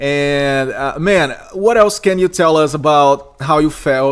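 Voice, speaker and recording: This man speaks with a Portuguese accent and ordinary pitch variation. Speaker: podcast host and esports caster. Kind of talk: interview.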